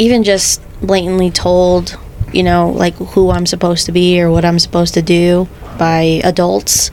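A woman with an American accent at a fairly slow pace, amid noticeable background noise. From Salt Lake City, Utah (Rose Park). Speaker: photographer and podcast co-host. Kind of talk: casual chat.

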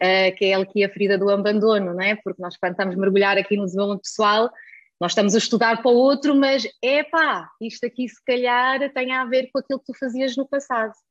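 A woman's fairly high voice at a very fast pace, with a dry, close sound and no echo. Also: ordinary pitch variation. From Germany. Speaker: holistic nutrition coach. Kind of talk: casual chat.

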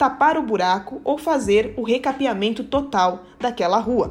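A woman's fairly high voice with very wide pitch swings at a fairly slow pace, with music in the background. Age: 20s. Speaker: city councillor and lawyer. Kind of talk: explanatory talk.

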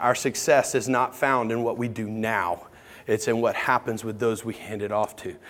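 Here a man talks in a medium-pitched voice. His delivery stays monotone and flat. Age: 40s. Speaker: pastor. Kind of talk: sermon.

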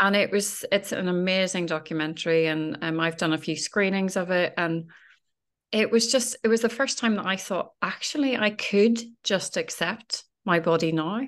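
An ordinary speaking voice belongs to this woman, who talks at a moderate pace and a medium pitch. Her pitch variation is ordinary, and the background is quiet. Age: 40s. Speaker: fitness coach. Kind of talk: casual chat.

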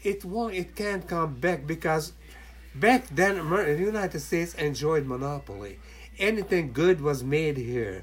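A man with a Hungarian accent, a fairly high pitch, lively intonation and a moderate pace. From Hungary. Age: 80s+. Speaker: retired merchant mariner. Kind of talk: casual chat. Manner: halting, many fillers.

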